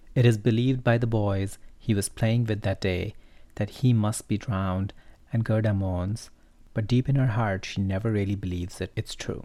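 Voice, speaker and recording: The voice has a dark, mellow tone. Its intonation is fairly even. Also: man, fairly low pitch for a man, moderate pace. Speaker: podcast host and storyteller. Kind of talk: fairy-tale narration with wry commentary. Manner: wry, playful, lightly sarcastic.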